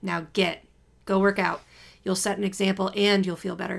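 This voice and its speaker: A raspy put-on character voice at a moderate pace, its intonation monotone and flat. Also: woman, medium pitch for a woman. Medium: read story. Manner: blunt, authoritative, matter-of-fact.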